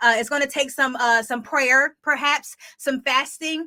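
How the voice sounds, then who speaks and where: Raising and projecting her voice, a woman with an American accent speaks at a high pitch in a bright, sharp tone, her intonation fairly even. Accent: Delaware accent, comes out now and then. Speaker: podcast host, sports industry professional. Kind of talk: casual podcast monologue. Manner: casual, conversational.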